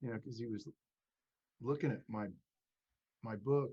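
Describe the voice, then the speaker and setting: This man has a medium-pitched voice with a dark, mellow tone. He sounds somewhat breathy and shows ordinary pitch variation. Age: 70s. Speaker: author and podcast host. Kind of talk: casual chat. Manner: halting, many restarts.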